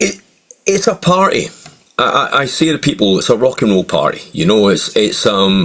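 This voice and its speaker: Moderate pace from a man with a Scottish accent, very even loudness and long, frequent pauses. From Scotland. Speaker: tribute singer. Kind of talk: interview.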